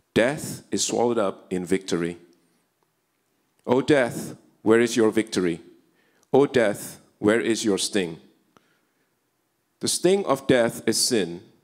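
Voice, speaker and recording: In a quiet background, a man speaks at a fairly slow pace with long, frequent pauses. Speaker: scripture reader at service. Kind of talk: scripture reading. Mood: solemn, earnest. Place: church. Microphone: handheld.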